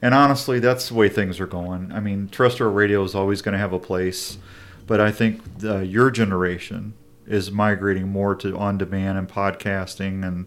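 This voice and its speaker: An ordinary speaking voice from a man, fairly low in pitch, at a moderate pace with fairly even intonation. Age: 50s. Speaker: outdoor radio show host. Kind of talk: casual chat.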